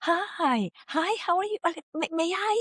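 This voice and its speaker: The pace here is fairly slow. It is an extremely high-pitched, put-on character voice. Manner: polite, deferential, overly courteous.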